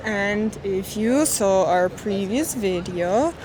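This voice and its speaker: A woman with ordinary pitch variation over noticeable background noise. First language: not English. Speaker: travel vlogger. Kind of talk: travel vlog narration. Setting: outdoors.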